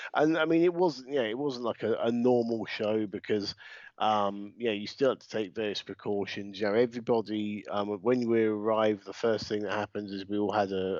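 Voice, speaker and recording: This man has a British accent and a fairly low pitch. He talks at a fairly quick pace. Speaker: podcast co-host and wrestling ring announcer. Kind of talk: casual chat.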